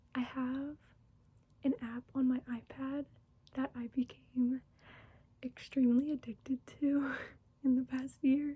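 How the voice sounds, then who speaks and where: A soft-spoken woman has a high pitch and a dark, mellow, gentle tone. Her intonation stays monotone and flat. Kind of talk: soft-spoken ASMR talking to camera. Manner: soft-spoken, gentle, relaxing.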